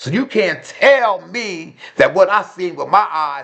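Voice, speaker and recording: With an animated tone, a man is talking. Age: 50s. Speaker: fast food worker. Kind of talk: storytime vlog. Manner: loud.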